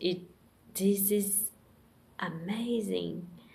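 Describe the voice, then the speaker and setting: A woman with a Portuguese accent and a dark, mellow tone, very slow and fairly even in intonation, with audible room echo. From Brazil. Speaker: vlogger. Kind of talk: personal monologue. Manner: halting.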